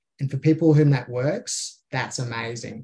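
A man's medium-pitched, somewhat breathy voice with a dark, mellow tone, an Australian accent, ordinary pitch variation and a moderate pace. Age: 30s. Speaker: small business owner. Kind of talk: casual interview chat.

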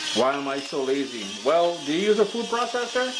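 A man's voice is heard with noticeable background noise behind it. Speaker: recipe host. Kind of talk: cooking tutorial. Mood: playful, chatty. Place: kitchen.

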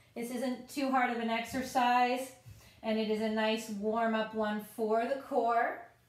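A woman's high, calm voice with monotone, flat intonation at a fairly slow pace, with audible room echo. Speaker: fitness instructor. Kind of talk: guided exercise tutorial. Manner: calm, even, instructional pacing with clear step-by-step cues; friendly and encouraging.

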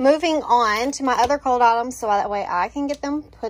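A woman's high-pitched voice with ordinary pitch variation. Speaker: home vlogger. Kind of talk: casual vlog chat. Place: kitchen. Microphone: phone near.

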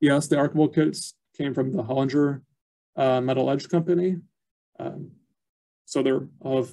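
A man's fairly high voice, dark and mellow in tone, with fairly even intonation, a moderate pace and long, frequent pauses against a quiet background. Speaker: archivist; presenter. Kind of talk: educational webinar presentation. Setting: video call. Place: office. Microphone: webcam.

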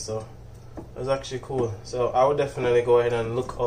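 Noticeable background noise runs throughout. A man speaks at a fairly quick pace. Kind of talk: tutorial. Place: kitchen. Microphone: phone near.

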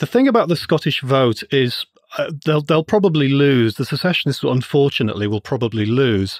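A man with an English accent, fairly high-pitched, lively in intonation and fairly quick, in a dry, close recording with no echo. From England. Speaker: finance lecturer and libertarian writer. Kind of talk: interview.

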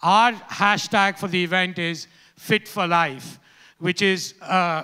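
A man's raised, projected voice in a bright, sharp tone, with fairly even intonation against a quiet background. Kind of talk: press conference statement. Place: hall. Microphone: handheld.

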